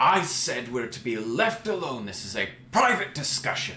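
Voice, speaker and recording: A man puts on a character voice with very wide pitch swings around a medium pitch. Clear background noise sits behind him. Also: moderate pace. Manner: curt, dismissive.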